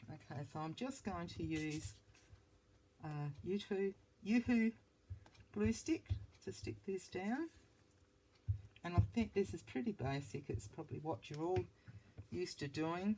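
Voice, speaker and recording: A woman's very deep, low voice with a dark, mellow tone and vocal fry, very wide pitch swings, a fairly slow pace and long, frequent pauses. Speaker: papercraft hobbyist. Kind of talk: craft tutorial. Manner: halting, many fillers.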